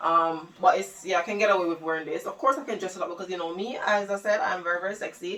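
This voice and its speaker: A woman's animated, very fast speech over noticeable background noise. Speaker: fashion vlogger. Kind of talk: try-on haul video. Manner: loud.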